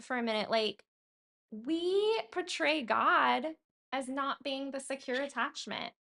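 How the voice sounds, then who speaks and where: A woman's high, raised, projected voice in an American accent, bright and sharp in tone, fairly slow with lively intonation, over a quiet background. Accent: slight Southern, per people in California. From California. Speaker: podcast co-host and coach. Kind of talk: casual chat. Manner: talkative.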